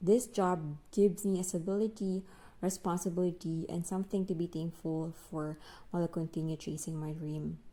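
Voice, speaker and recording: Speaking with a Filipino accent at a moderate pace, a woman has a fairly low pitch, a dark, mellow tone and fairly even intonation. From Philippines. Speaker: English teacher and vlogger. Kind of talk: personal vlog narration. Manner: reflective.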